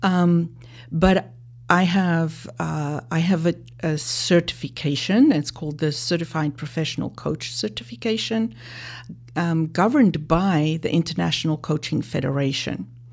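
The speaker uses lively intonation at a fairly slow pace, with a South African accent. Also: woman, very deep, low pitch for a woman. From South Africa, Johannesburg. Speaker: life and leadership coach. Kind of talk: interview.

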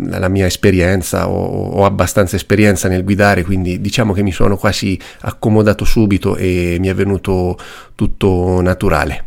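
This man has a very deep, low pitch. He speaks at a moderate pace with monotone, flat intonation. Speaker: drummer. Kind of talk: recorded testimony.

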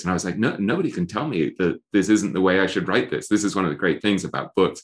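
Against a quiet background, a man with an English accent speaks at a fairly low pitch. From England. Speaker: author and investing writer. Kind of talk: podcast interview. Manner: self-deprecating, animated storyteller.

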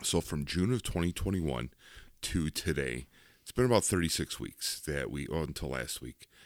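Vocal fry in a very deep, low male voice, moderately paced. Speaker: podcast host. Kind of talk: casual chat. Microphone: new microphone.

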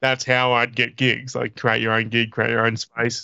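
A man speaks at a moderate pace in a bright, sharp tone. The background is quiet. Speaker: podcast co-host and comedian. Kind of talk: casual chat.

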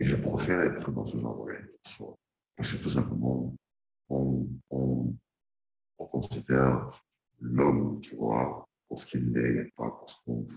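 A soft-spoken man talks with a very deep, low pitch, vocal fry and ordinary pitch variation. His loudness swings widely, and he leaves long, frequent pauses. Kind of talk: interview. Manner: halting. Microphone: too quiet at first.

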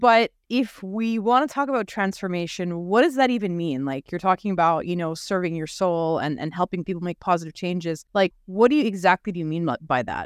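With a plain, everyday voice at medium pitch, a woman talks at a fairly quick pace with lively intonation and hardly any pauses, recorded very cleanly against a silent background with a dry, close sound and no echo. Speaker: podcast host. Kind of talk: casual interview chat.

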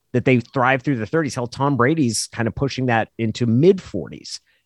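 Speaking at a moderate pace with an American accent, the voice carries vocal fry. The recording is very clean with a silent background and a dry, close sound with no echo. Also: man. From Oregon, Klamath Falls. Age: 40s. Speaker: former sports radio host and sportswriter. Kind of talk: casual podcast interview.

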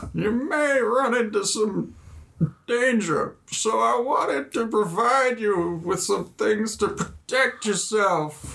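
A man in a put-on character voice, high-pitched and very slow. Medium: actual play. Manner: old-fashioned, fussy.

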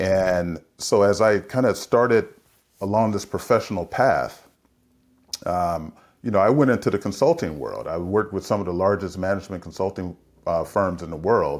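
An unremarkable speaking voice from a man with an American accent, fairly low in pitch with ordinary pitch variation, comes at a moderate pace in a very clean recording with a silent background. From US West Coast, San Francisco. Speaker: leadership consultant and executive coach. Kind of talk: interview conversation.

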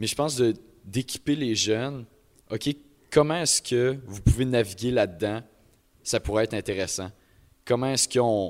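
A man speaks at a moderate pace and medium pitch with ordinary pitch variation and long, frequent pauses, in a very clean recording with a silent background. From Quebec, Beauce. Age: young. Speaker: CEGEP student. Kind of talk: live panel discussion. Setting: live event with audience.

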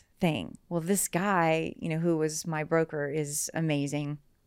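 A woman with an American accent and a normal speaking voice talks at a moderate pace and a fairly low pitch in a very clean recording with a silent background. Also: hardly any pauses. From US South, southern West Virginia. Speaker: real estate agent. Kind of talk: interview.

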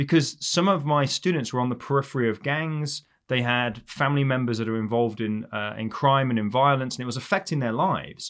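A man with an English accent talks at a fairly quick pace with hardly any pauses. His medium pitch shows ordinary pitch variation, and the recording is very clean with a silent background. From England. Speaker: criminal justice professor. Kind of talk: interview conversation.

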